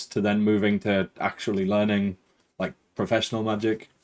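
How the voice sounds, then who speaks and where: Here a man talks with a Geordie accent. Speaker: podcast host. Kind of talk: interview; scripted introduction. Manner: authoritative.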